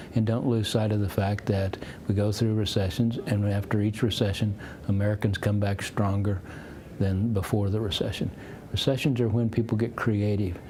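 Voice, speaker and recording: Over noticeable background noise and audible room echo, a man speaks in a flat monotone. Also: fairly low pitch for a man, moderate pace. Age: 60s. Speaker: economist and futurist. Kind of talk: interview. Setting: conference.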